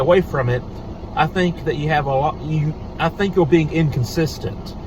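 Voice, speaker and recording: A man talks with ordinary pitch variation, with audible room echo and noticeable background noise behind him. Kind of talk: casual talk to camera. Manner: halting, many fillers.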